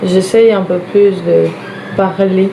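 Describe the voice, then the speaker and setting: Soft-spoken, fairly even speech with audible room echo and noticeable background noise. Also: woman. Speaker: vlogger. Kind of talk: casual get-ready-with-me vlog. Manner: soft-spoken, quiet.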